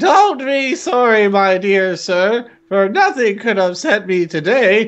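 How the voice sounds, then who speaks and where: A squeaky, put-on character voice with fairly high pitch moves at a fairly slow pace. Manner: giddy, overjoyed, absurdly polite.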